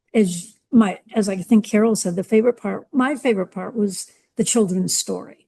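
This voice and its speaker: A woman talks at a moderate pace with medium pitch and ordinary pitch variation. Her tone is dark and mellow, and somewhat breathy. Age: 70s. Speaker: book club reader. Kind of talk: audience question.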